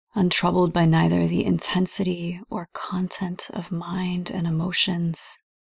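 A somewhat breathy voice with a calm, soothing tone moves at a fairly slow pace with hardly any pauses. The intonation stays flat and monotone. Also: woman, fairly low pitch for a woman. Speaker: meditation guide. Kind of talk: guided meditation. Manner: slow, soft, calm and soothing with long pauses; gentle, measured, reverent.

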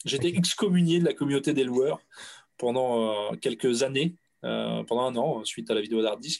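This man has a plain, everyday voice at a medium pitch with ordinary pitch variation. He keeps a moderate pace and very even loudness. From France. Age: 30s. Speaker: audiovisual rental business owner. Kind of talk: casual chat.

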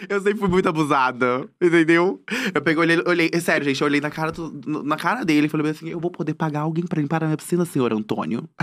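This man's voice is fairly high in pitch. He speaks very fast. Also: ordinary pitch variation. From Cuiabá, Mato Grosso, Brazil. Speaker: content creator and comedian. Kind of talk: casual interview chat. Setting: studio.

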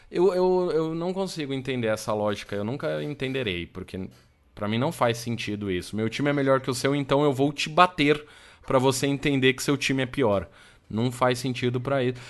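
Against a quiet background, a man with a plain, everyday voice talks at medium pitch and a fairly quick pace with lively intonation. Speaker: podcast host. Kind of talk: casual chat. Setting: live stream.

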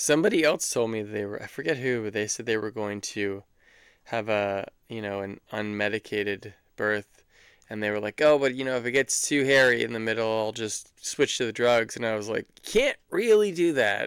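A man with a normal speaking voice talks at a medium pitch and moderate pace in a very clean recording with a silent background. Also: ordinary pitch variation. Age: 40s. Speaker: podcast co-host, new father. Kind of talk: casual chat.

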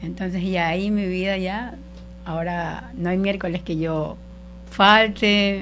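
A woman's medium-pitched voice, very slow and monotone with flat intonation, with audible room echo. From Ecuador, coastal Guayas province. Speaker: church worship volunteer. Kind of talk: personal faith testimony. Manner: halting.

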